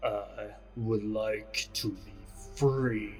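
The speaker uses a put-on character voice. Clear music plays in the background. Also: man. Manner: whispery, with layered whispers.

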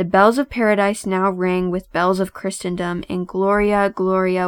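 At a fairly slow pace, a woman with an unremarkable speaking voice keeps a medium pitch and fairly even intonation in a very clean recording with a silent background. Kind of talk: poem performed, read aloud. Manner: measured, lyrical, reverent.

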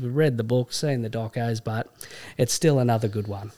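On a very clean recording with a silent background, a man with an Australian accent speaks at a medium pitch with ordinary pitch variation. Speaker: podcast host. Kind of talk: casual banter. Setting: studio. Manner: casual, jokey.

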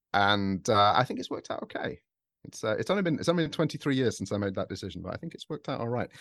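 A man with a British accent and medium pitch, racing at a very fast pace through very wide pitch swings. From England.

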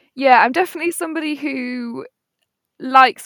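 A woman with an East Midlands accent, lively intonation and a moderate pace, in a dry, close sound with no echo. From Nottingham, England. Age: 20s. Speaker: waitress and former fruit picker. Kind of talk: casual interview.

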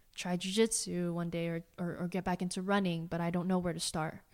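In a very clean recording with a silent background, a woman with an American accent talks at a fairly quick pace, her fairly low pitch held in a monotone, flat intonation. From Southern California (Walnut, near Pomona). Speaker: physical therapist. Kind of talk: casual interview.

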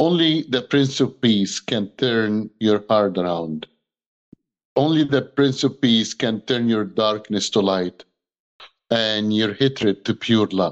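A man at medium pitch, very slow in pace, with ordinary pitch variation. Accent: Egyptian. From Egypt. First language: Arabic. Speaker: human rights activist and pastor. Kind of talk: interview on video call. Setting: video call. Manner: impassioned.

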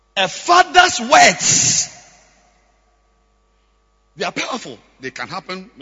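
Slow and high-pitched, a man speaks with a husky, rough edge, a bright, sharp tone and very wide pitch swings.

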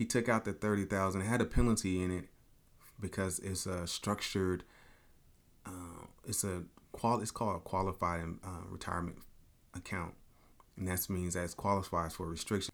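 Over a silent background in a very clean recording, a man with a very deep, low pitch speaks at a moderate pace, with fairly even intonation and long, frequent pauses. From Chicago South Side. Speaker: podcast host and financial coach. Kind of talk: casual monologue.

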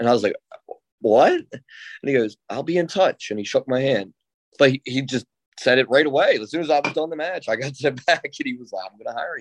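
Talking at a fairly quick pace, a man with a fairly high pitch shows ordinary pitch variation and big swings in loudness, with a dry, close sound and no echo. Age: 30s. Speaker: professional wrestler. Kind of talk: interview. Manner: halting, many fillers.

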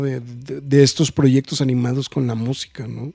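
The tone of this man's voice is dark and mellow, and he speaks at a fairly slow pace. The sound is dry and close, with no echo. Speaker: podcast host. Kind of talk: casual chat.

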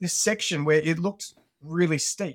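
On a very clean recording with a silent background, a man with an Australian accent speaks at a high pitch. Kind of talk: interview conversation.

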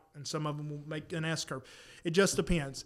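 With a Southern US accent, a man speaks at a fairly high pitch and moderate pace, his intonation fairly even. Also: very clean recording, silent background. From South Carolina. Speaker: podcast co-host, disc golfer. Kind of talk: casual chat. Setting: studio.

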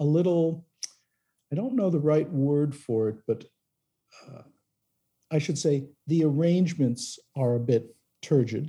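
This man speaks at a fairly slow pace in a somewhat breathy voice with a dark, mellow tone. His pitch is fairly high and varies in an ordinary way. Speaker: record producer. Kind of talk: interview. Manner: halting, filler-heavy.

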